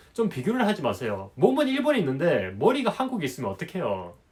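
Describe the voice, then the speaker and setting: Vocal fry runs through the man's speech, and his pitch swings very widely. His pace is fairly quick. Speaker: business consultant and YouTuber. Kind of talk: advice monologue to camera. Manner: casual, with many filler words.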